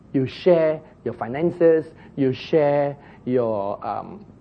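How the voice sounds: A man with a medium-pitched voice and vocal fry talks at a very slow pace. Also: lively intonation.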